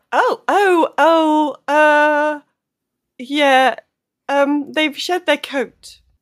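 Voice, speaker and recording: Speaking very slowly with long, frequent pauses, a woman with a British accent uses a high pitch and ordinary pitch variation in a dry, close sound with no echo on a very clean recording with a silent background. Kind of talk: tabletop roleplaying game, casual chat.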